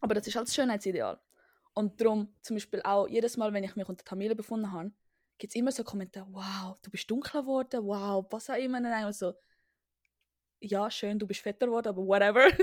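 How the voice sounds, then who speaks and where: Talking very fast, a woman uses a fairly high pitch. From Switzerland. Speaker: podcast co-host. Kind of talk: casual chat. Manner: animated.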